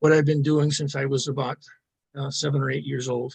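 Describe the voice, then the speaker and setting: A man's somewhat breathy, fairly high voice with fairly even intonation. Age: 70s. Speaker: philosophy enthusiast and self-styled philosophical journalist. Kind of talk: podcast interview. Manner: halting, many fillers and repeated words.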